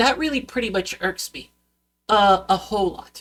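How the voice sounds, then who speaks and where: Lively intonation marks a woman's voice with a fairly high pitch. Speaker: YouTuber. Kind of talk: vlog rant. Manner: halting, many fillers and restarts; unscripted, goes off on tangents.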